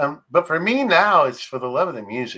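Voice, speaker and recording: A man speaks with a Texan accent. His tone is bright and sharp. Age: 60s. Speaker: country radio DJ. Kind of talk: casual interview chat.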